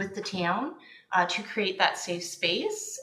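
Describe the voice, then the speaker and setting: Heard with audible room echo and noticeable background noise, a woman speaks in a Canadian accent. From Ontario, Canada. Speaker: registered nurse. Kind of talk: committee meeting introduction.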